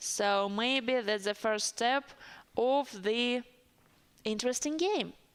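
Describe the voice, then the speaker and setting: With a strong Russian accent, a woman with a fairly high pitch speaks at a very slow pace and with ordinary pitch variation. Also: long, frequent pauses. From Siberia, Russia. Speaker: chess commentator. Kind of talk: live commentary. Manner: hesitant, with fillers.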